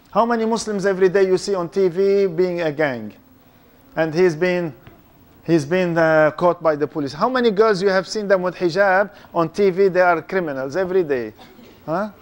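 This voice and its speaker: An animated tone with a non-native accent and ordinary pitch variation. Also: man, high pitch for a man, moderate pace. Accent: foreign. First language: not English; speaks three languages. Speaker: Islamic lecturer. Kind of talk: lecture. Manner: animated, interactive with audience.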